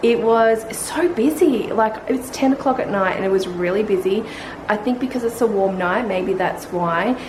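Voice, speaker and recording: A woman talks with an Australian accent. Noticeable background noise and audible room echo come through. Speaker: family vlogger. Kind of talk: casual vlog chat. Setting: at home at night. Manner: quiet.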